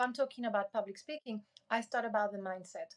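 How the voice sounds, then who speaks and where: Speaking at a fairly quick pace, a woman has a high pitch and a non-native accent. Her ordinary pitch variation sits in a dry, close sound with no echo. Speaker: creator and public speaking coach. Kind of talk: podcast interview.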